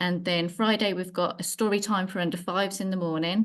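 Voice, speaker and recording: Over a quiet background, a woman with an ordinary speaking voice talks at a moderate pace, her fairly low pitch carried by fairly even intonation. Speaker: library worker. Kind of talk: community meeting presentation.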